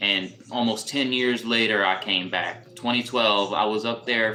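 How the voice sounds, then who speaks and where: A man with an American accent and a medium pitch, at a fairly slow pace, with fairly even intonation and noticeable background noise. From US South, New Orleans. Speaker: live streamer. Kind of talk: casual chat. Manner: casual, halting with repetitions.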